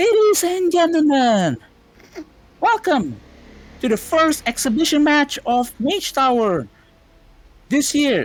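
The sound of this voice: Using a put-on character voice at a high pitch, the speaker goes at a fairly slow pace with long, frequent pauses.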